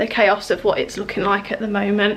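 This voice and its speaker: A woman with an English accent. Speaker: home renovation vlogger. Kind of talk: casual vlog update. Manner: hesitant with many fillers.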